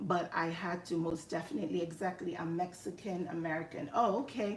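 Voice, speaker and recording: Speaking at a moderate pace with a Nigerian accent, a woman keeps a medium pitch and fairly even intonation. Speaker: live streamer and health IT educator. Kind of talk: casual live stream chat. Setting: live stream at home.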